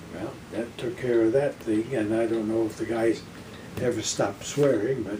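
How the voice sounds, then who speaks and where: A man speaks at an average speed while background noise is clearly audible. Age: 80s+. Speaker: war veteran. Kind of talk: personal war storytelling.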